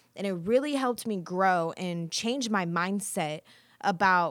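A woman with an American accent has an ordinary speaking voice at a medium pitch. Her pitch variation is ordinary and her pace moderate. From rural Kansas. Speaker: student podcast host. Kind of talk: scripted monologue.

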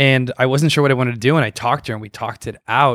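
A man speaks in a medium pitch with an American accent. The sound is dry and close with no echo, on a very clean recording with a silent background. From Los Angeles, US. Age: 30s. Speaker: startup founder. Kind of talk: casual interview. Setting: backyard at home.

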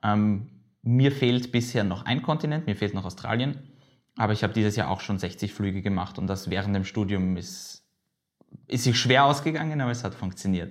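A man with an ordinary speaking voice talks at a moderate pace with fairly low pitch and lively intonation. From Austria, Vienna. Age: 20s. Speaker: aviation video blogger and student. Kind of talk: casual interview. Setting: studio / office table.

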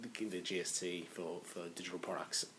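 Noticeable background noise runs under the speech. The speaker has an Australian accent. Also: man. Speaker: podcast co-host, finance consultant. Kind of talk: casual chat. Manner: halting, repetitive fillers.

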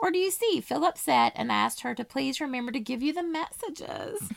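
Putting on a whiny character voice with a whiny tone, a woman talks at a fairly quick pace in a high pitch. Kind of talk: mock-pouty, pretending to be upset.

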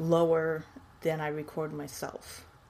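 Against noticeable background noise, a woman with an American accent speaks very slowly at a fairly low pitch. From Texas. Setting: video call.

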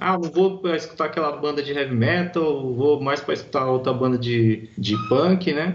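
Ordinary pitch variation at a moderate pace, with noticeable background noise behind it. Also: man. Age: 30s. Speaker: heavy metal guitarist, course student. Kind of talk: interview.

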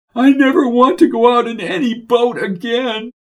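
Putting on a squeaky character voice, a woman speaks at a moderate pace and a high pitch.

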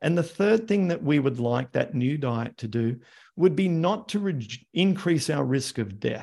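A man with an Australian accent, fairly high-pitched with very wide pitch swings, at a moderate pace. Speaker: arthritis health educator. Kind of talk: live Q&A interview. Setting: video call.

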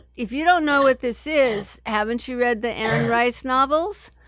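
A woman talks at an average speed with typical pitch movement, an unremarkable speaking voice captured on a spotless recording against complete silence. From San Francisco, US. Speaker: puppy play enthusiast. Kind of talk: casual chat.

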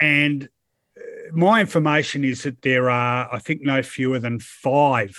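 Fairly slow speech in an Australian accent. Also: man, very clean recording, silent background. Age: 50s. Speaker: football journalist. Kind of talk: casual chat.

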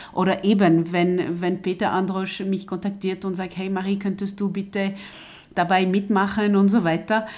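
At a moderate pace, a woman talks in a French accent with monotone, flat intonation. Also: medium pitch for a woman. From coastal France. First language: French (speaking German). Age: 50s. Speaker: translator and project coordinator. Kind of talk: interview. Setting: at home. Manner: hesitant, many fillers and repetitions.

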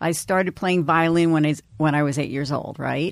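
Speech in an American accent, very cleanly recorded against a silent background. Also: woman. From New York, Long Island. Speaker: radio personality. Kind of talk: interview.

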